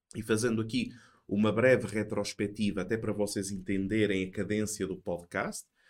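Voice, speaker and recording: A man with a European Portuguese accent speaks at a fairly low pitch and moderate pace. The recording is very clean with a silent background. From Portugal. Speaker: theology professor. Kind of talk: casual chat.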